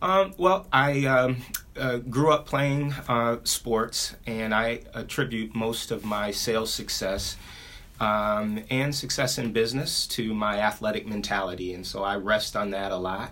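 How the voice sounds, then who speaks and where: A man talks at a fairly slow pace in an American accent. His pitch is medium, with ordinary variation. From Ohio, US. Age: 40s. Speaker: business owner. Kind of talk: interview. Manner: halting, many fillers.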